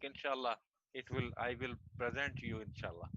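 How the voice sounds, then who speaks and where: A man with a Pakistani accent talks at a moderate pace in a medium pitch, his tone bright and sharp, his intonation monotone and flat, the sound dry and close with no echo. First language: Urdu. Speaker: martial arts federation president. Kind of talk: video call panel discussion. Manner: halting.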